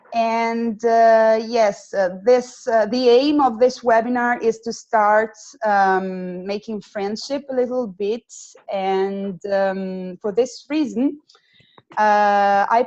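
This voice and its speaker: At a very slow pace, a woman with an Italian accent and a fairly high pitch talks with ordinary pitch variation. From Italy. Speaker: student program coordinator. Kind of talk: webinar. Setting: video call. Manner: halting, many fillers.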